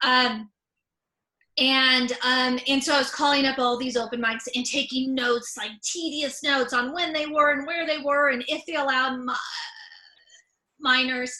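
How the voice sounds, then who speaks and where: With long, frequent pauses, a woman with an American accent uses a raised, projected voice, high in pitch, at a moderate pace with fairly even intonation. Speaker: comedian and author. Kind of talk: presentation. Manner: many fillers and repetitions.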